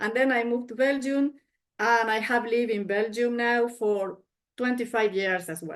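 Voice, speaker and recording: With a Spanish accent, a woman talks at a moderate pace, using a fairly high pitch and fairly even intonation. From Argentina. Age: 50s. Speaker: martial arts master. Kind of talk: self-introduction presentation.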